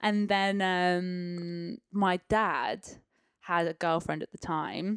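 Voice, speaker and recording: A woman with an East of England accent, medium in pitch, very slow, with fairly even intonation, in a dry, close sound with no echo on a very clean recording with a silent background. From Peterborough, eastern England. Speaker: professional dancer. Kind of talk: casual chat. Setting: living room at home.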